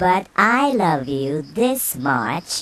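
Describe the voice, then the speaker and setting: A man puts on a character voice that is high in pitch and swings very widely. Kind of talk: bedtime story. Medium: read story. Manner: gentle, affectionate.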